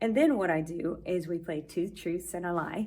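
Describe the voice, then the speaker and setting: A woman with a fairly low voice talks amid audible room echo. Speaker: Spanish teacher. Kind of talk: vlog tutorial. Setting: classroom.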